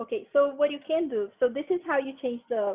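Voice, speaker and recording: A woman speaks in a Brazilian accent at a fairly quick pace. Her pitch varies in an ordinary way. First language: Portuguese. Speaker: linguistics researcher presenting a workshop. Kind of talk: tutorial. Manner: casual.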